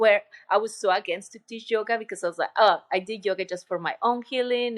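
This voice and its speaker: With a Colombian accent, a woman talks at a fairly quick pace. Her voice is fairly high, with ordinary pitch variation. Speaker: retreat center owner and yoga teacher. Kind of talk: interview conversation. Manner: halting, with filler words.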